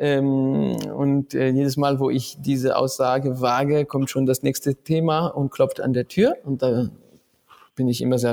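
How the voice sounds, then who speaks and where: Over music in the background, a man talks at a fairly slow pace with monotone, flat intonation. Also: dry, close sound with no echo. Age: 40s. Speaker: author and musician. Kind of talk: interview.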